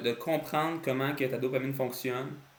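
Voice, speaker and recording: A man with an unremarkable speaking voice, fairly even intonation and a moderate pace. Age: 20s. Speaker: entrepreneur. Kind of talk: casual talk to camera.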